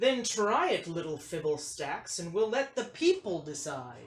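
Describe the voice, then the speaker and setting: The speaker uses a put-on character voice at a middle pitch. The pace is moderate. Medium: read story. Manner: pompous.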